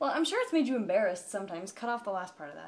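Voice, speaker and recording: A woman speaks over noticeable background noise. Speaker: vlogger. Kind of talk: casual chat.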